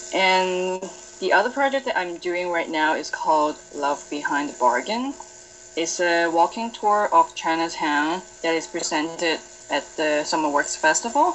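Over noticeable background noise, a woman talks at a fairly slow pace. Her voice is fairly low, with very wide pitch swings. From Hong Kong. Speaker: artist. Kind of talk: interview. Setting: video call.

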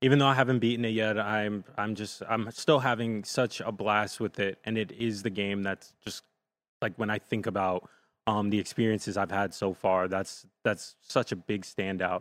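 A man with a plain, everyday voice and an American accent speaks at a moderate pace, fairly low in pitch with fairly even intonation, in a very clean recording with a silent background and a dry, close sound with no echo. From New Jersey, Jersey City. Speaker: video producer. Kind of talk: casual chat.

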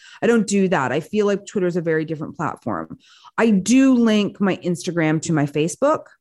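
Speaking fairly quickly with lively intonation, a woman with a Canadian accent uses a normal speaking voice at a fairly low pitch on a very clean recording with a silent background. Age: 50s. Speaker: film critic and entertainment presenter. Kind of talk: interview.

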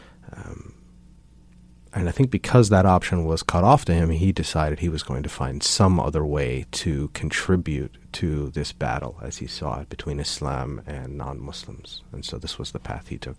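Vocal fry and big swings in loudness, with an American accent. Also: man, very deep, low pitch for a man, ordinary pitch variation, moderate pace. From US. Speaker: speaker on tolerance and peace. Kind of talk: interview. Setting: studio.

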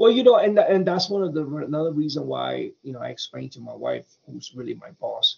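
A man at a fairly quick pace, with hardly any pauses. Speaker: actor and filmmaker. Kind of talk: casual interview. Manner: animated, rambling.

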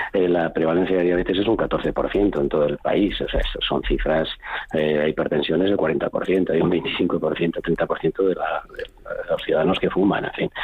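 Noticeable background noise is heard as a man talks at a fairly slow pace. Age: 60s. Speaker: cardiologist. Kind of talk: radio interview. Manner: hesitant, with many fillers.

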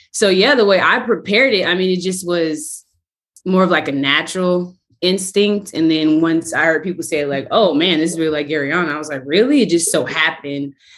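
An ordinary speaking voice from a woman at a fairly low pitch, fairly quick pace and ordinary pitch variation. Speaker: actress. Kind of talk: casual chat.

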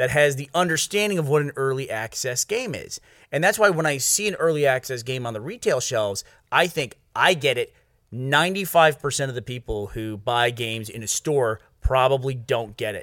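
Lively intonation marks a normal speaking voice on a very clean recording with a silent background. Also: man. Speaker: podcast host. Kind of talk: casual banter chat. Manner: fast, talkative, interrupting.

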